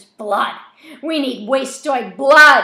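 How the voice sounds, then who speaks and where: A loud, shouting, put-on character voice, female-sounding and high, with audible echo. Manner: screaming, loud and frenzied.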